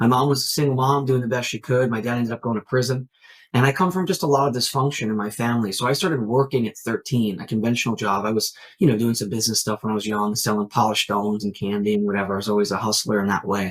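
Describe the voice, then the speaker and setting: Speaking at a very fast pace, a man with an American accent uses a medium pitch and ordinary pitch variation. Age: 30s. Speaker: network marketing entrepreneur. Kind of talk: podcast interview. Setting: remote call.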